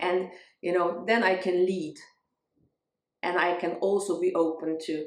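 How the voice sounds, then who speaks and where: With a non-native accent, the speaker goes at a fairly slow pace, leaving long, frequent pauses. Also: woman. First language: not English. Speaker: spiritual growth vlogger, music teacher. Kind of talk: casual talking-head vlog. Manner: halting, with fillers and restarts.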